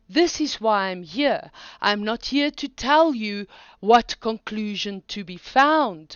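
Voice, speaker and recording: At a very slow pace, a woman with a non-native accent speaks at a fairly high pitch with lively intonation. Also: big swings in loudness. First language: not English. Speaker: online philosophy teacher. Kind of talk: lecture.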